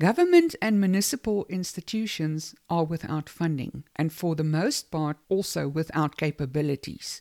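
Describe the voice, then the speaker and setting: A dark, mellow tone on a very clean recording with a silent background, the sound dry and close with no echo. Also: woman. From South Africa. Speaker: podcast host. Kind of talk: personal monologue. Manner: emotional.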